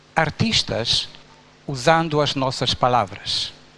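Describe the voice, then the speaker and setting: A man talks at a very slow pace with a Romanian accent. Noticeable background noise runs beneath his speech. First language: Romanian (speaking Portuguese). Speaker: pastor. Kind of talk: sermon.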